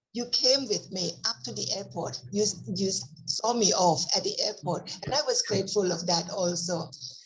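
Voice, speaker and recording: Noticeable background noise sits behind a woman talking. Her intonation is lively and her pace moderate. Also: medium pitch for a woman. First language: Thai. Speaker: Buddhist nun. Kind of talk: casual conversation.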